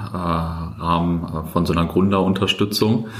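A man speaks in a very deep, low pitch with monotone, flat intonation. Noticeable background noise and audible room echo surround his voice. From Germany, Löhne (Kreis Herford), East Westphalia. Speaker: startup founder and former podcast host. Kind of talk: casual interview. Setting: coworking space.

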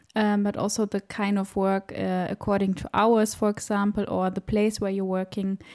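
A woman with a German accent speaks at medium pitch and a moderate pace, monotone and flat, with hardly any pauses. The recording is very clean with a silent background and a dry, close sound with no echo. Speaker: podcast host, health management worker. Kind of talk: interview.

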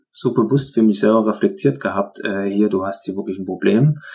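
With a normal speaking voice, this man keeps a moderate pace, a medium pitch and pitch movement of the usual range. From Upper Lusatia, Saxony. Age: 30s. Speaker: former trainee with depression. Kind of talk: testimony.

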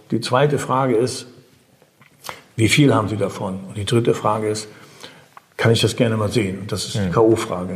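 With audible room echo, a man speaks at a fairly quick pace and fairly low pitch, with fairly even intonation and long, frequent pauses. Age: 60s. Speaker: financial broker. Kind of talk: interview. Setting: broker's office.

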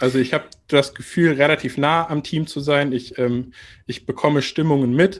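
With a quiet background, a man with an ordinary speaking voice talks at a moderate pace in a fairly high pitch with fairly even intonation. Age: 30s. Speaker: marketing department head. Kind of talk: interview.

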